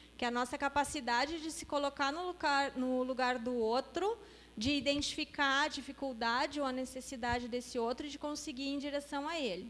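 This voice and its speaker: Pitch moves in an ordinary way. The delivery is fairly quick. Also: woman, high pitch for a woman. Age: middle-aged. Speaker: spiritist lecturer. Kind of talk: interactive lecture.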